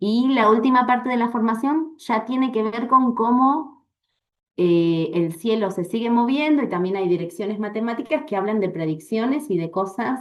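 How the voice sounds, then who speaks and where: Her intonation lively, a woman talks at a moderate pace with a fairly high pitch. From Argentina, Bariloche (Patagonia). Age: 40s. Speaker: astrologer and astrology teacher. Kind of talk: interview.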